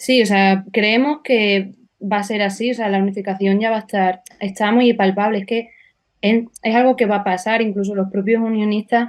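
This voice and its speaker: The pace is moderate. The intonation is flat and monotone. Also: woman, fairly high pitch for a woman, quiet background. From Extremadura, Spain. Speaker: political activist. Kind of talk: interview.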